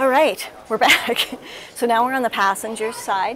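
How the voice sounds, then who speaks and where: A woman is speaking. Light background noise is present. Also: dry sound with no echo. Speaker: RV reviewer. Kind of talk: casual tour commentary. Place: hall. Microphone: lapel.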